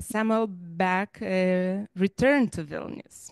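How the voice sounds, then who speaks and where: The woman's voice has a dry sound with no echo, set against a quiet background. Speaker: library director and event host. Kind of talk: moderating a memorial event. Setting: live event in a library. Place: hall.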